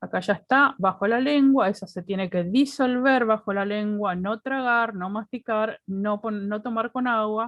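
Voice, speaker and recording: A woman speaks in a normal speaking voice, fairly high in pitch with ordinary pitch variation. Her pace is fairly slow, with hardly any pauses. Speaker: nursing instructor. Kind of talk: lecture. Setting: video call.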